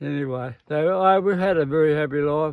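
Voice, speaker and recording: With an Australian accent, a man talks at a moderate pace in a fairly high pitch. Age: 80s+. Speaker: farmer and engineer. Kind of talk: interview answer.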